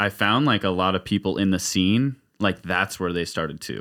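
With an American accent, the bright, sharp voice moves at a moderate pace over a very clean recording with a silent background. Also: man. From Redding, Northern California. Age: 20s. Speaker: barber and drummer. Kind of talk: casual chat.

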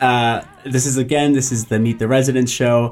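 A man speaks with an American accent. Background noise is noticeable. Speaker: school radio host. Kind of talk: casual chat. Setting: studio. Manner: animated.

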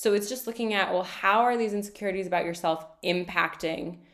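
With ordinary pitch variation, an unremarkable speaking voice goes along at a fairly quick pace. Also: woman. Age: 30s. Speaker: coach and podcast host. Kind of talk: casual interview.

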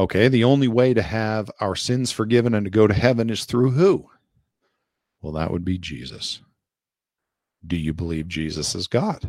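Fairly low in pitch, a man speaks with lively intonation at a moderate pace. He leaves long, frequent pauses. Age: 40s. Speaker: podcast host and Bible teacher. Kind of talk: Bible teaching lesson. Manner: reading from notes.

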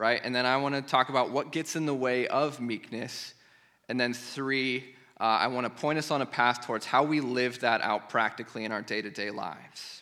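A man's bright, sharp tone at a moderate pace, with fairly even intonation. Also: medium pitch for a man. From US Midwest, eastern Iowa. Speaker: pastor. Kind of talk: sermon. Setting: church.

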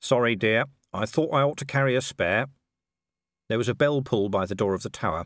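On a very clean recording with a silent background, a man speaks at a medium pitch. His tone is animated, his intonation lively and his pace fairly quick. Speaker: audiobook narrator. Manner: animated, shifts between characters with varied voices.

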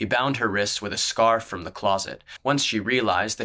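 Pitch moves in an ordinary way. It comes through a natural reading voice.

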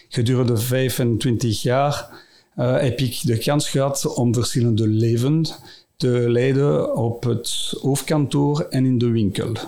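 Very slow speech from a man at medium pitch, dark and mellow in tone, with fairly even intonation and audible room echo. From Brussels area, Belgium. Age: 50s. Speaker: company CEO. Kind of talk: interview. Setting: studio. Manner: halting.

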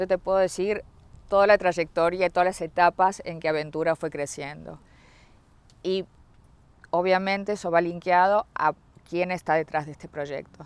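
A woman speaks at a moderate pace and fairly low pitch with fairly even intonation, big swings in loudness, and long, frequent pauses. The very clean recording has a silent background and a dry, close sound with no echo. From Uruguay. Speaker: real estate sales executive. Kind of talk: interview.

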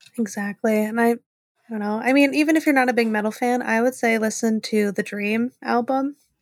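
A woman in a normal speaking voice, fairly high in pitch, at a fairly quick pace with fairly even intonation, in a dry, close sound with no echo. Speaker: podcast co-host. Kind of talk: casual chat.

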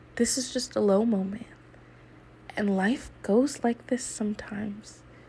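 A woman's fairly high pitch at a fairly slow pace, long and frequent pauses, fairly even intonation, and noticeable background noise. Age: 20s. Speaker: college student podcaster. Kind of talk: personal monologue. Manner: halting, with fillers.

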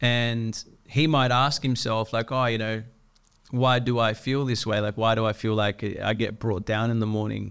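Here a man speaks at a medium pitch with an Australian accent. The recording is very clean, with a silent background. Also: moderate pace. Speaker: podcast host. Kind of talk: casual interview chat. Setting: studio. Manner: animated.

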